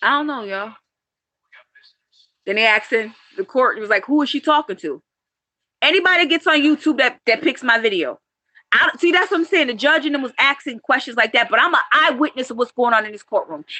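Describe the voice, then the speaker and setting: A woman speaks very fast in a raised, projected voice with a high pitch, a bright, sharp tone and lively intonation. Long, frequent pauses break up her speech, and the sound is dry and close with no echo. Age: 40s. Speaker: vlogger, parent in a custody dispute. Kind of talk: emotional live-stream rant. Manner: animated.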